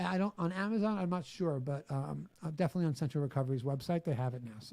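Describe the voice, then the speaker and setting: A man speaks at a very fast pace with a New York accent and lively intonation. His fairly high voice is dark and mellow, and somewhat breathy. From New York City, Staten Island. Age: 50s. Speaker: author. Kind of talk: podcast interview.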